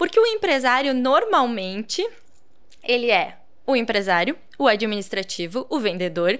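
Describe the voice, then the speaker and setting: A woman speaks at a moderate pace in a high voice, her pitch swinging very widely, with long, frequent pauses against a quiet background. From Rio Grande do Sul, Brazil. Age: 30s. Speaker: social media entrepreneur; guest. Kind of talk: casual interview chat. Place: studio. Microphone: studio mic.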